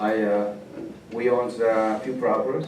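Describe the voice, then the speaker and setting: The man's voice carries audible room echo, with noticeable background noise behind it. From El Salvador, rural village. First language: Spanish. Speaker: refugee guest speaker. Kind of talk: personal testimony to a class. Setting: classroom. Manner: halting.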